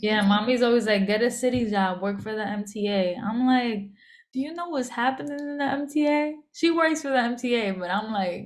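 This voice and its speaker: Someone with a New York accent talks at a moderate pace with lively intonation. The room echo is audible. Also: woman. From New York, the Bronx. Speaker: rapper. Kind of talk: interview. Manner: nonchalant, sounds unamused.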